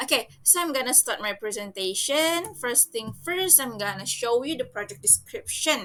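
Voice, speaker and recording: A woman with an Indonesian accent talks at a moderate pace in a high pitch, with very wide pitch swings. Her tone is bright and sharp. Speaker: student. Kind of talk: class presentation. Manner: halting.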